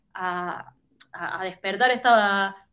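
A woman at a very slow pace. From Argentina, Córdoba province. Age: 30s. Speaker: tech product manager. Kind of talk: interview conversation. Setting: remote call.

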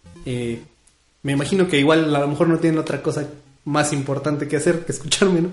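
Audible room echo carries a man's very fast speech in a central Mexican accent. His pitch is fairly high. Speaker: community radio host. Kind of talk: casual radio show chat. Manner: animated.

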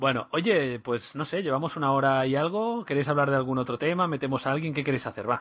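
A man with a plain, everyday voice talks fairly quickly with hardly any pauses, his fairly high pitch showing ordinary variation. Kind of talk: casual chat.

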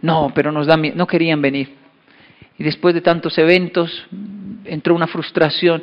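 Leaving long, frequent pauses, a man speaks in a high pitch at a moderate pace with fairly even intonation. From Colombia and Japan (Japan from age 10 to 24). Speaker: motivational speaker. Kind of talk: keynote talk.

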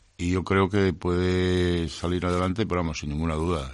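With a very deep, low pitch, a man speaks at a moderate pace. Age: 70s. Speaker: retiring restaurant owner. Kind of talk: interview. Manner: halting.

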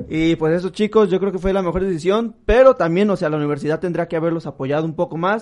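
A man talks at a very fast pace with hardly any pauses. His high pitch has ordinary variation. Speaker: podcast co-host. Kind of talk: casual chat.

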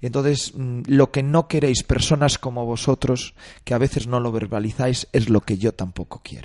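A man with a plain, everyday voice speaks at a medium pitch and moderate pace, his intonation fairly even, in a dry, close sound with no echo. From Galicia, Spain. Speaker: actor and film director. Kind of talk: radio interview. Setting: studio.

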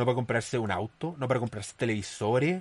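Speaking at a fairly quick pace, a man with a somewhat breathy voice has a medium pitch and ordinary pitch variation. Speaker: podcast host. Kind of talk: commentary monologue. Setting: studio.

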